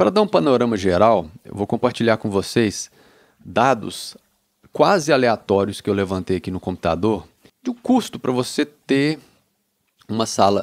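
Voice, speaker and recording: Against a quiet background, a man speaks at a moderate pace. His intonation is lively. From Brazil. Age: 30s. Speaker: music producer. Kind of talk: casual chat. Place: studio. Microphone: handheld.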